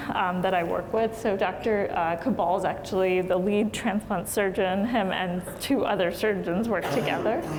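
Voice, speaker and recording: Against noticeable background noise and audible room echo, a woman with a General American accent speaks at a moderate pace and medium pitch, with ordinary pitch variation. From Maryland, US. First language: Hindi. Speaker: physician. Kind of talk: lecture. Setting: lecture hall with audience.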